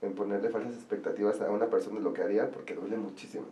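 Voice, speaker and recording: A man with a Mexican accent, with audible room echo and noticeable background noise. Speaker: wedding planner. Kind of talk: casual interview chat. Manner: fast.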